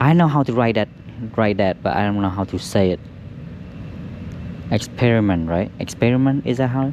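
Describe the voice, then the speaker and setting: A man at fairly low pitch, moderate pace and ordinary pitch variation, with long, frequent pauses. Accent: Vietnamese. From Vietnam. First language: Vietnamese. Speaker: auto detailer. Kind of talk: casual chat. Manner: halting.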